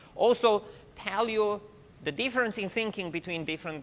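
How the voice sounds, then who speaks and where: Noticeable background noise runs under the recording. A man talks over it at a fairly quick pace. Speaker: university professor. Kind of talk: lecture. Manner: fast.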